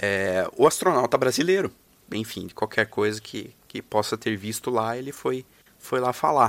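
A man's plain, everyday voice at medium pitch, with ordinary pitch variation and a fairly slow pace. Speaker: guest storyteller. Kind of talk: storytelling.

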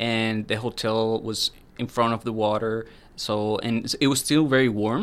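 Heard on a very clean recording with a silent background, the speaker uses a monotone, flat intonation with a Spanish accent. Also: man, medium pitch for a man, fairly slow pace. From Colombia, Medellin. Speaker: international student, former lawyer. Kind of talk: casual interview.

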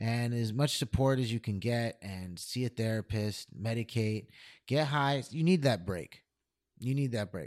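A man with an American accent and a plain, everyday voice, at a fairly slow pace with ordinary pitch variation, in a dry, close sound with no echo and a very clean recording over a silent background. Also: medium pitch for a man. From upstate New York (Albany area). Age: 30s. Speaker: first grade teacher and comedian. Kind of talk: casual chat.

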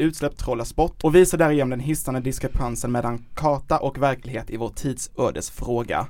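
A man's fairly quick, nearly pause-free delivery with fairly even intonation. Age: 30s. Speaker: podcast host, journalist. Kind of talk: casual chat.

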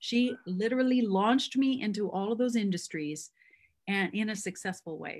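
Woman's somewhat breathy, medium-pitched voice with a Canadian Prairie accent, at a moderate pace with ordinary pitch variation, on a very clean recording with a silent background. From Canadian Prairies (Métis, Manitoba-born). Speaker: singer and actress. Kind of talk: casual interview.

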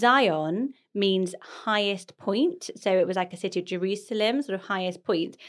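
On a very clean recording with a silent background, a woman with a plain, everyday voice talks at a fairly slow pace and medium pitch with ordinary pitch variation. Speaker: podcast host. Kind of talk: casual chat.

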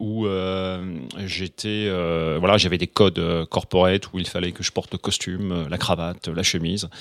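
The recording is very clean, with a silent background and a dry, close sound with no echo. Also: man. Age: 50s. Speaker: real estate agent. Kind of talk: casual interview. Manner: halting, many repetitions and fillers.

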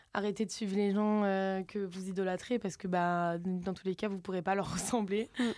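Over a silent background in a very clean recording, a woman speaks in a southern French accent. Her pitch is medium and her intonation is monotone and flat. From southern France. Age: 20s. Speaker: social media content creator. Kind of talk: casual chat.

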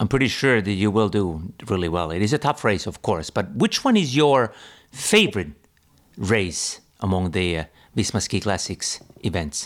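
A man with an unremarkable speaking voice and fairly low pitch talks at a moderate pace with lively intonation, on a very clean recording with a silent background. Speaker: podcast host. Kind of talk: interview.

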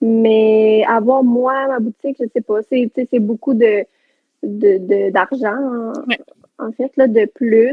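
A woman speaks very slowly in a fairly high voice with a Quebec accent. Her intonation stays fairly even. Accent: Québécois French. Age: 20s. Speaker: entrepreneur. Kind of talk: casual chat.

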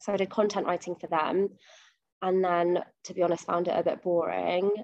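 This woman speaks with a London accent at a medium pitch. Her intonation stays fairly even. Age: 20s. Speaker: fashion buyer. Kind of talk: casual interview.

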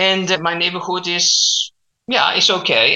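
A man with a Chilean accent has a bright, sharp tone with vocal fry. He speaks at a moderate pace. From Chile, Santiago. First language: Spanish. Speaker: language coach. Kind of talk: interview. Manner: halting.

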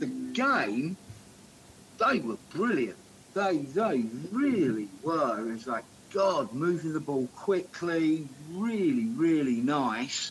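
A man talks at a very slow pace with a fairly high pitch. His pitch swings very widely over noticeable background noise. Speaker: football podcast co-host. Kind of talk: casual chat. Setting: remote call.

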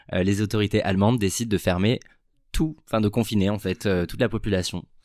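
A man talks with fairly low pitch and ordinary pitch variation. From southern France. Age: 20s. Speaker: product manager. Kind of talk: interview.

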